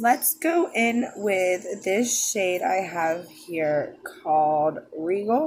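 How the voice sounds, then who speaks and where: At a very slow pace and medium pitch, a woman speaks with hardly any pauses and very wide pitch swings. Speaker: beauty vlogger. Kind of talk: makeup tutorial. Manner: quiet; casual.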